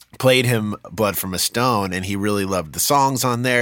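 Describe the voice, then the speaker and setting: Captured in a very clean recording with a silent background, a man uses an unremarkable speaking voice, fairly low in pitch with ordinary pitch variation. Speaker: podcast host and musician. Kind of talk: casual interview chat.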